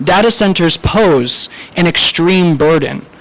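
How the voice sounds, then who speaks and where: Noticeable noise sits in the background. A man speaks with fairly high pitch and ordinary pitch variation. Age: 20s. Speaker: college student speaking at public comment. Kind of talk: public comment speech at town meeting.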